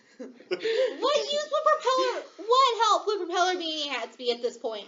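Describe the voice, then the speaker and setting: A female-sounding put-on character voice speaks at a moderate pace. Its pitch is extremely high, with very wide swings. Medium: actual play. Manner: touchy, indignant, quick to protest.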